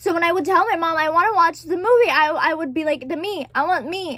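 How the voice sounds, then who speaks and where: The tone is animated and the pace fairly quick. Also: woman. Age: 20s. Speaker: vlogger. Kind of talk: casual chat.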